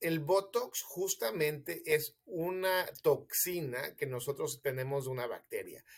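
At a very slow pace, a man talks with hardly any pauses. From Mexico City. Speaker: physician. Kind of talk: interview, explaining health myths.

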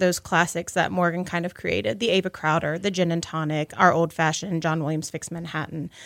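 A woman's fairly low voice at a fairly quick pace. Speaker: restaurant manager. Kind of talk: casual interview. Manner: animated.

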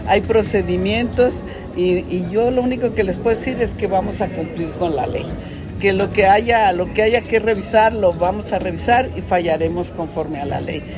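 Noticeable background noise and audible room echo run through the clip. A woman talks at a moderate pace. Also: medium pitch for a woman, ordinary pitch variation. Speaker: judge. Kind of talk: press conference.

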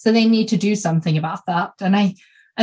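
A somewhat breathy woman's voice with a Swedish accent and ordinary pitch variation. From Sweden. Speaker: small business coach and podcast host. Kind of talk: casual chat. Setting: video call.

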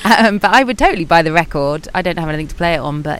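Very fast and fairly low-pitched, a woman speaks over noticeable background noise. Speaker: podcast host. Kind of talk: casual interview chat. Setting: outdoors on a beach.

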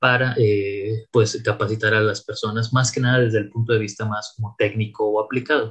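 Fairly slow and monotone, the man's speech has a flat intonation. His voice sits at a medium pitch. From Mexico, Tampico, Tamaulipas. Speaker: AI scientist and consultant. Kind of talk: interview. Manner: halting, with many fillers and repetitions.

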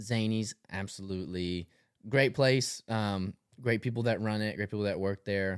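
A man with a Tennessee accent speaks at a fairly low pitch and fairly even intonation on a very clean recording with a silent background. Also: moderate pace. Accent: Southern US (Tennessee). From Tennessee, Tullahoma. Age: 20s. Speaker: clothing brand founder. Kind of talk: casual chat.

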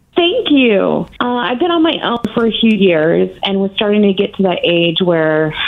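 At a moderate pace, the words come through with noticeable background noise behind them. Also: woman. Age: 30s. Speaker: caller seeking advice. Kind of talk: call-in advice. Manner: halting.

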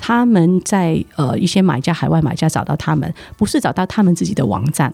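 Over noticeable background noise, a woman with a Hong Kong accent talks fairly quickly at a fairly low pitch. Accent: Hong Kong accent in Mandarin. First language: Cantonese (speaking Chinese). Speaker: trade promotion executive. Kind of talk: interview. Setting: studio.

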